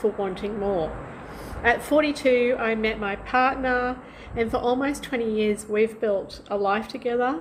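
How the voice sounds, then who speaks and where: Noticeable background noise sits under a woman's fairly high voice. She speaks at a fairly slow pace with fairly even intonation. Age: 60s. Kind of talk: personal story told to camera.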